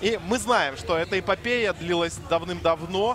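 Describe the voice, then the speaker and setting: Music plays in the background. Over it, a man speaks with ordinary pitch variation. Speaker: esports commentator. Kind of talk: live commentary.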